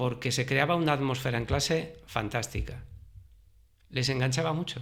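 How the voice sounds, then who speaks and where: In an ordinary speaking voice, a man keeps his intonation fairly even and his pace moderate. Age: 60s. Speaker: retired history teacher. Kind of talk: interview.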